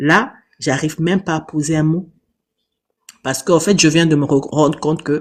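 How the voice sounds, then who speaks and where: Here a man speaks at a moderate pace with fairly high pitch. His intonation stays monotone and flat. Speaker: live stream participant. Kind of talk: testimony.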